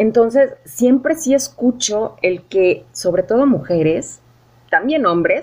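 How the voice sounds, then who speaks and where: With lively intonation, a woman speaks in a high pitch at a fairly slow pace. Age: 40s. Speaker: podcast host. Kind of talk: casual interview chat.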